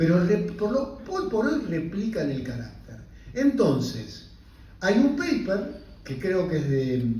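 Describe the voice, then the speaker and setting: Speaking at a very slow pace, a man with a high pitch makes very wide pitch swings. Audible room echo and noticeable background noise fill the recording. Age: 60s. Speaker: physician and invited lecturer. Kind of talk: lecture. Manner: halting, with many self-corrections.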